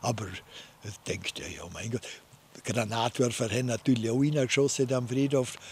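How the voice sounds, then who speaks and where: With a Vorarlberg accent, a man speaks at a moderate pace with fairly even intonation and big swings in loudness, in a dry sound with no echo and light background noise. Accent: Vorarlberg Alemannic dialect. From Vorarlberg, Austria. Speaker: war veteran. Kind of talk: interview answer, wartime recollection. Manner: hesitant, conversational. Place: garden. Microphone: studio mic.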